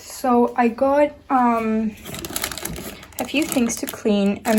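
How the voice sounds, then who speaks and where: Over noticeable background noise, a woman with a slight Spanish accent speaks at a fairly high pitch. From Argentina, Buenos Aires. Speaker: lifestyle vlogger. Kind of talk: casual vlog talk to camera. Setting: at home in bedroom. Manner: casual, filler-heavy.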